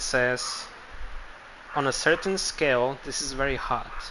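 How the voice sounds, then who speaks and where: Here a man speaks at a medium pitch. His intonation stays fairly even. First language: not English. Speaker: game streamer. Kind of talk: live gameplay stream commentary. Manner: casual, hesitant with repetitions.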